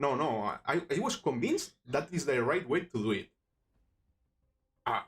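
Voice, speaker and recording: A man is speaking. He has a Spanish accent. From Spain, Barcelona. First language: Spanish or Catalan. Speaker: miniature sculpting streamer. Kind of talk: live stream tutorial. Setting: live stream. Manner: halting, many false starts.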